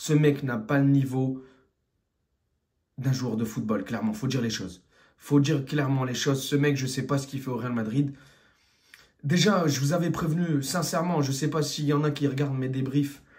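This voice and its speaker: A man's somewhat breathy, fairly high voice at a moderate pace, with long, frequent pauses, ordinary pitch variation and audible room echo. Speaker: football fan commentator. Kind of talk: post-match rant. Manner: animated.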